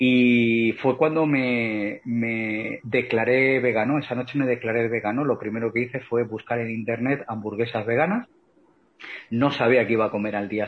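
A man with a medium pitch talks fairly slowly, his intonation fairly even. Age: 40s. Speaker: author and vegan activist. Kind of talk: interview. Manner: halting, many repeated words.

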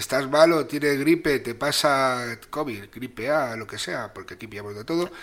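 Over noticeable background noise, a man with a medium pitch and ordinary pitch variation talks at a fairly slow pace with hardly any pauses and big swings in loudness. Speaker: podcast co-host. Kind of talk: casual chat.

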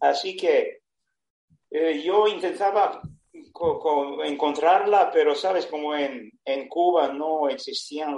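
With a Serbian accent, a man speaks at a very slow pace, leaving long, frequent pauses. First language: Serbian (speaking Spanish). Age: 70s. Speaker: retired sailor. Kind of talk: personal storytelling. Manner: halting.

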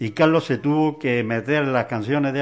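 A man talks in an ordinary speaking voice at a moderate pace. His pitch varies in an ordinary way over a quiet background. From Granada, Spain. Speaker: musician. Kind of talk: interview.

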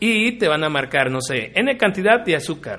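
A man speaks at a moderate pace. His pitch sits high. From Mexico, Río Verde, San Luis Potosí. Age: 30s. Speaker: podcast co-host. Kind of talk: casual chat.

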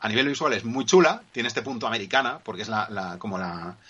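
Intonation here is lively. Delivery comes at a fairly quick pace. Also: man. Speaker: podcast co-host. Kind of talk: casual chat. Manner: energetic. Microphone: poor audio connection.

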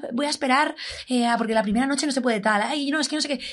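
This woman's voice is high-pitched. Its pitch moves in an ordinary way. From Cádiz, Andalusia, Spain. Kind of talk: casual chat.

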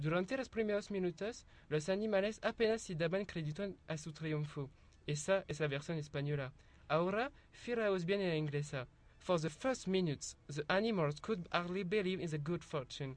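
A man speaks at a moderate pace in a high voice, his pitch rising and falling in an ordinary way. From France. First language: French (speaking Spanish). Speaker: university translation student. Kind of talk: student presentation.

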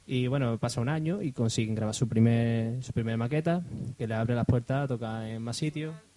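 The voice has a dark, mellow tone and ordinary pitch variation. Its pace is fairly quick. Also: man, medium pitch for a man. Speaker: podcast co-host. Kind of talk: casual chat.

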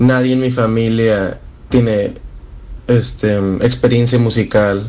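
In a room with audible echo, a man speaks at a very slow pace in a medium pitch with monotone, flat intonation. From Monterrey, Mexico. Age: 20s. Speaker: electronic music producer and DJ. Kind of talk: radio interview.

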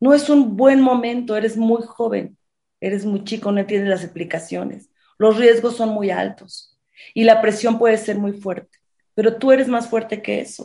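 A woman talks at a moderate pace with a fairly high pitch. Her tone is dark and mellow, and her intonation stays fairly even. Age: 50s. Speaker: sexologist. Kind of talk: interview.

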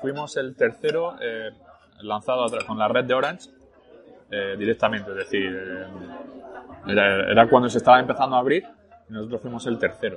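Backed by music, a man talks at a fairly quick pace with ordinary pitch variation and long, frequent pauses. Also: medium pitch for a man. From northern France, later Spain. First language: French (speaking Spanish). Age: 30s. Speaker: entrepreneur. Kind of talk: casual interview over lunch. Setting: restaurant.

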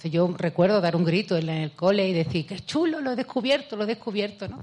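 A woman with an Andalusian accent, animated and lively in intonation, at medium pitch and a moderate pace. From Andalusia, Spain (Seville province). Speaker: mathematician and author. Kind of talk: public talk with Q&A. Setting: festival event, remote from Spain.

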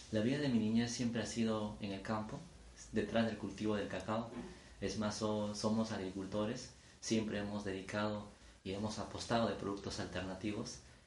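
A man speaks with a fairly low pitch. Both audible room echo and noticeable background noise come through. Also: fairly even intonation, moderate pace. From Peru, Ayacucho region. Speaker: engineer and food entrepreneur. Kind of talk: interview. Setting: his home. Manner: formal.

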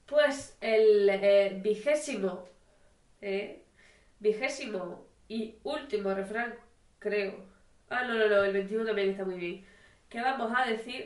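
At a very slow pace with long, frequent pauses, a woman with a fairly high pitch speaks using ordinary pitch variation. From Spain. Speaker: amateur podcast co-host. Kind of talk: casual chat.

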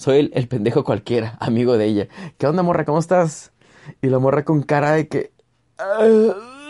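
A man's fairly high-pitched voice with a dark, mellow tone, very wide pitch swings, a moderate pace and a dry, close sound with no echo. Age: 30s. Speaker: comedian. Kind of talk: storytelling monologue. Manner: casual, colloquial.

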